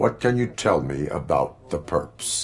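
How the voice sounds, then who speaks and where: A man puts on a character voice, pitched very deep and low. He talks at a fairly slow pace. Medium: video game. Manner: flat, clipped, monotone.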